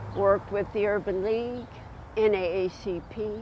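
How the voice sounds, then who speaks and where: Audible room echo and noticeable background noise surround a woman as she talks. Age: 80s+. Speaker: civil rights leader. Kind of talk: testimony.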